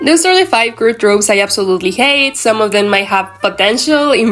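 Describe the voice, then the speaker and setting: Amid noticeable background noise, a woman with a Mexican accent talks at a fairly quick pace with lively intonation. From Mexico. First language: Spanish. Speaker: anime commentary YouTuber. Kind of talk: casual vlog rant. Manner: halting, with fillers and self-corrections.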